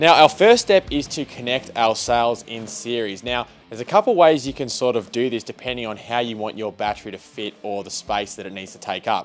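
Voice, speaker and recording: A man at a fairly quick pace with hardly any pauses, big swings in loudness and ordinary pitch variation, faint music in the background. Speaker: DIY video host. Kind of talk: tutorial. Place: workshop.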